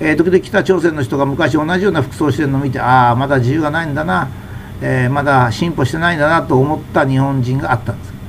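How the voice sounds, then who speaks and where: A man talks at a fairly quick pace with a fairly high pitch. Noticeable background noise can be heard. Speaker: commentator on health and society. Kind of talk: monologue talk.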